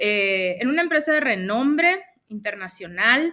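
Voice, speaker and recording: This woman speaks with a northern Mexican accent at a fairly slow pace. Her pitch swings very widely. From northern Mexico, Mexicali, Baja California. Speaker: life coach. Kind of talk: interview. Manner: loud.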